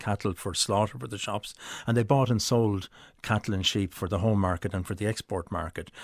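A man with an Irish accent, fairly quick and fairly even in intonation, in a very clean recording with a silent background. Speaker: author. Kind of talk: interview.

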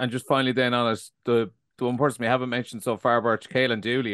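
A man with an Irish accent is heard in a dry, close sound with no echo. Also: quiet background. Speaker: podcast host. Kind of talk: podcast discussion and interview. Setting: remote call with co-panelists.

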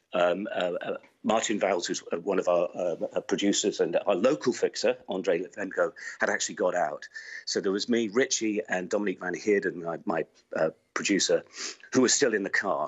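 This man speaks with a British accent at a moderate pace. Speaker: war correspondent. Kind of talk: interview.

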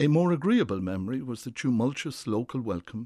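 A man speaks with an Irish accent at a fairly quick pace. His intonation is lively. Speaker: former government official. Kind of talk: scripted narration.

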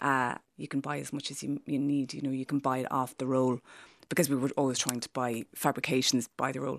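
A woman in a western Irish accent, very deep and low in pitch, monotone and flat, at a fairly quick pace, with a dry, close sound, no echo and a quiet background. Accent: Irish, west of Ireland. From west of Ireland. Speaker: fashion designer and artist. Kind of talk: casual conversation. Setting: studio.

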